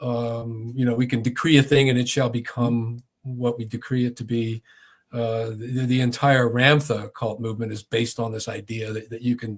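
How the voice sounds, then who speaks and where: A man with an American accent speaks at a medium pitch and a moderate pace in a somewhat breathy, monotone, flat delivery, on a very clean recording with a silent background. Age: 70s. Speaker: former cult deprogrammer and author. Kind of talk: casual chat.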